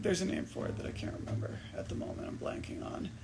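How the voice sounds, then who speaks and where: Over noticeable background noise and audible room echo, a man talks at a fairly quick pace with very wide pitch swings. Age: 30s. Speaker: musician. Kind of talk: casual livestream Q&A. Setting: Instagram livestream.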